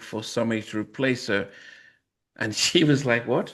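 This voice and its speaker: A man is speaking at a fairly quick pace. The background is quiet. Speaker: podcast host. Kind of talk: interview conversation. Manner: soft-spoken; halting, many repeated words.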